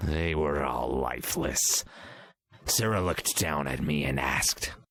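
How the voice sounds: A man does a cartoonish character voice, raspy and very deep, at a moderate pace.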